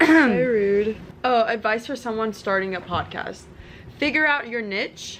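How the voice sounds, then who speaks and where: A woman with a fairly high pitch speaks at a moderate pace, her pitch varying in an ordinary way. Her speech has long, frequent pauses, and there is noticeable background noise. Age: 20s. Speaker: podcast host. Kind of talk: casual chat.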